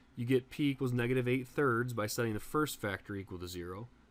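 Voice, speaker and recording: A man speaks at a medium pitch with ordinary pitch variation. He moves at a fairly quick pace. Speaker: math teacher. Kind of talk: lecture. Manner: fast.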